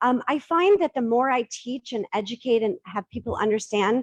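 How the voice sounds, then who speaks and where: A woman with a plain, everyday voice and an American accent, fairly high in pitch, with lively intonation and a moderate pace. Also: dry, close sound with no echo. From Boston, US. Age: 50s. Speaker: divorce coaching business founder. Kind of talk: Q&A after a pitch.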